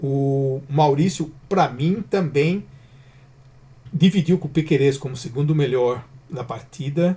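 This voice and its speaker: Speaking at a very slow pace with long, frequent pauses, a man uses a fairly high, somewhat breathy voice with a dark, mellow tone. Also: ordinary pitch variation. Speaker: football channel host. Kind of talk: post-match player ratings commentary. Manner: halting, casual with self-corrections.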